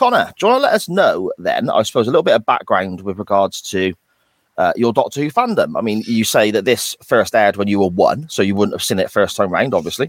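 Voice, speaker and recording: Very fast male speech with a dry, close sound and no echo on a very clean recording with a silent background. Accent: British. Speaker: podcast host. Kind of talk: casual chat.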